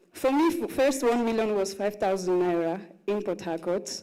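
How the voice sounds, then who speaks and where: A woman's medium-pitched voice with a dark, mellow tone at a moderate pace, plus audible room echo. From Russia. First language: Russian. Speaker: content creator and actress. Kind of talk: panel talk at live conference.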